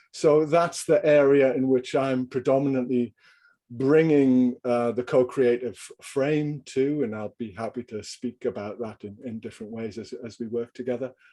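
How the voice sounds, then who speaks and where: A man with a slight Geordie accent speaks at a moderate pace and medium pitch, his tone dark and mellow. His intonation stays fairly even while his loudness swings widely, against a quiet background. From northern England, Newcastle upon Tyne. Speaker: executive coach and leadership trainer. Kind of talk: video call group introduction. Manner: halting.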